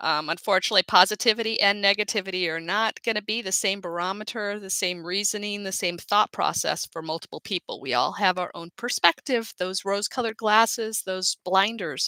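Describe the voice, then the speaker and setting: A woman speaks at a medium pitch and moderate pace, her bright, sharp tone carrying ordinary pitch variation in a dry, close sound with no echo. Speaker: life coach. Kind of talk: live webinar talk. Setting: live online broadcast. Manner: loud.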